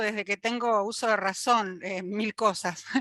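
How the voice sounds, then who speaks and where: The voice has a bright, sharp tone with fairly even intonation. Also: woman. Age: 60s. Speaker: retired biologist, audience participant. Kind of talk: audience question in online talk.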